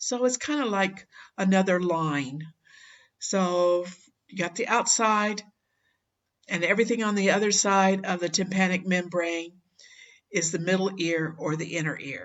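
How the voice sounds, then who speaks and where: A woman at a medium pitch with ordinary pitch variation, a fairly slow pace and long, frequent pauses. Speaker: anatomy teacher. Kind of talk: lecture. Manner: halting, many fillers.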